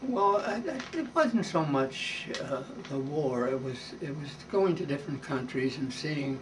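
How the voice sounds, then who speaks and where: A man with a Canadian accent speaks at a fairly slow pace with a fairly high pitch. The recording carries audible room echo and noticeable background noise. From Canada, Toronto. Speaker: war veteran. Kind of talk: interview. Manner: halting.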